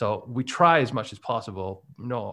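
A man with a bright, sharp tone against a quiet background. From Scotland. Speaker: website business owner. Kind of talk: casual interview chat. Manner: hesitant, filler-heavy.

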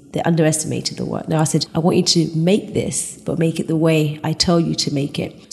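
Over noticeable background noise, a woman with a British accent speaks at a moderate pace in a fairly low pitch. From England. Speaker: furniture designer and manufacturer. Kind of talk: interview conversation.

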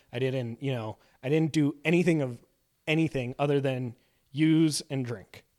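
At a moderate pace, a man with a Canadian accent and an unremarkable speaking voice speaks at a fairly high pitch with fairly even intonation, in a dry, close sound with no echo. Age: 30s. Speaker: improv comedian in recovery. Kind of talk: casual interview. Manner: laughs often.

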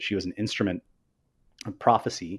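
A man with an American accent has an ordinary speaking voice, fairly low and fairly quick. His intonation is fairly even, and the background is quiet. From Northern California. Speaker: game designer, creative lead. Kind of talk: casual interview. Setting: livestream.

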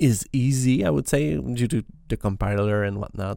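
In a very clean recording with a silent background, a man with a Quebec accent speaks in a fairly low, dark, mellow voice with ordinary pitch variation. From Quebec, Canada. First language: French. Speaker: podcast host and software developer. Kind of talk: solo scripted-casual podcast monologue. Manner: halting, with frequent fillers and repeated words.

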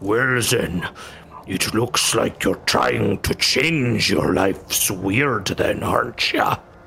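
In a put-on character voice of medium pitch, a man speaks at a very slow pace with very even loudness, over clear background noise. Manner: laughing, mocking.

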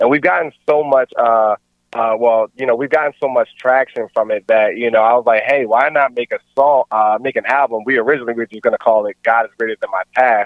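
A man with an American accent talks at a fairly quick pace and medium pitch, his intonation fairly even, in a plain, everyday voice. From Maryland, Baltimore area. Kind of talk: casual interview.

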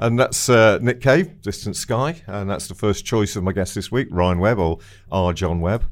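A man has a plain, everyday voice at a fairly low pitch with ordinary pitch variation and a moderate pace. The recording is very clean with a silent background. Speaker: radio host and promoter. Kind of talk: casual radio interview. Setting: radio studio.

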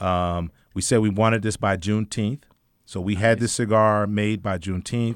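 An ordinary speaking voice at a moderate pace in a very clean recording with a silent background. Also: man, fairly low pitch for a man, fairly even intonation. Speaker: cigar company owner and entrepreneur. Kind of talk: casual radio interview. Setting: radio studio. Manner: joking, laughs often.

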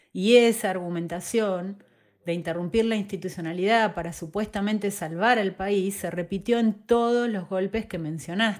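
Over a very clean, silent background, a woman in a plain, everyday voice speaks at a moderate pace, medium in pitch, with fairly even intonation. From Argentina, southern Entre Ríos. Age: 40s. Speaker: podcast host. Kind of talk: scripted narration.

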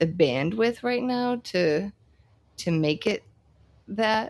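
On a very clean recording with a silent background, a woman talks very slowly with ordinary pitch variation. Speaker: business lawyer and podcast host. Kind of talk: casual interview.

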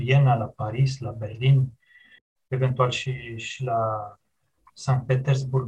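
Somewhat breathy speech comes at a very slow pace. The intonation stays fairly even. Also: man. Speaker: historian. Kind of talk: interview.

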